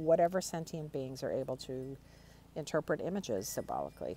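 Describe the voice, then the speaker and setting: A woman talks with a dark, mellow tone, some vocal fry, and lively intonation. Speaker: tarot hobbyist. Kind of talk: casual talk to camera. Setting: outdoors.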